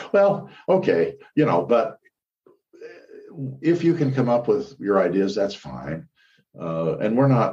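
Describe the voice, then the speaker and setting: Speaking at a fairly slow pace, a man with a dark, mellow tone and vocal fry swings his pitch very widely. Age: 60s. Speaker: church historian and lecturer. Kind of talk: interview. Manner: halting, many fillers.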